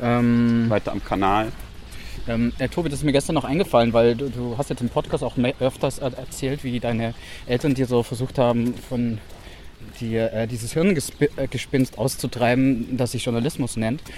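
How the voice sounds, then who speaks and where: In a plain, everyday voice, a man speaks at a medium pitch and a moderate pace with fairly even intonation. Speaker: journalist podcast co-host. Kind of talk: casual conversation. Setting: outdoors walking in rain.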